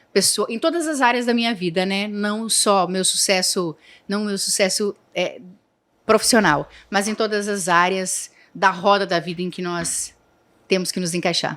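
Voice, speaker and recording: In a very clean recording with a silent background, a woman speaks at a medium pitch. Her pace is fairly slow and her pitch varies in an ordinary way. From Santa Catarina, southern Brazil. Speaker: entrepreneur. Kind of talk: podcast interview.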